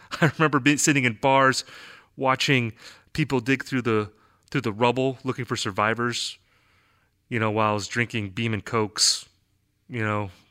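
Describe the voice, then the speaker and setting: A man speaks at medium pitch and a moderate pace, with fairly even intonation. He leaves long, frequent pauses on a very clean recording with a silent background. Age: 40s. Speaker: podcast host, music critic. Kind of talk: interview; scripted monologue intro.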